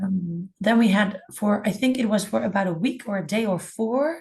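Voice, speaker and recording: At a moderate pace and medium pitch, a woman's somewhat breathy voice carries fairly even intonation. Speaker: music school department head. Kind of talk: webinar presentation.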